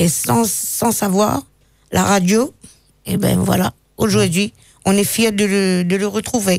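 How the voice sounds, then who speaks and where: A woman speaks at a very slow pace with long, frequent pauses, very even loudness and ordinary pitch variation. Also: medium pitch for a woman. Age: 60s. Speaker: guest. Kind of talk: radio interview. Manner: halting.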